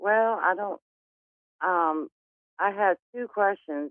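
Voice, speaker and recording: The delivery is very slow in pace, with lively intonation. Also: woman. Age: 60s. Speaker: caller. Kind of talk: call-in reading.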